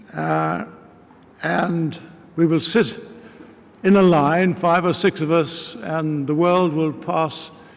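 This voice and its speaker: A man with a British RP accent speaks at a very slow pace, with a fairly high pitch, ordinary pitch variation and long, frequent pauses. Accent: English RP, older British officer. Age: 80s+. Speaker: war veteran. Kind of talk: speech. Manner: halting.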